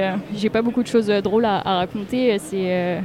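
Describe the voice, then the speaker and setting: Fairly slow, fairly even speech from a woman with a fairly high pitch, against noticeable background noise. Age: 20s. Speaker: public affairs officer. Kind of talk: interview. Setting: trade fair stand. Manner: halting.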